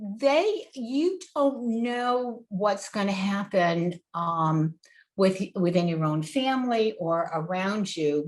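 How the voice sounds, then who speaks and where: At a very slow pace, a woman talks at medium pitch with lively intonation. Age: 70s. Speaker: community health educator. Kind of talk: presentation. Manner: halting, many filler ums.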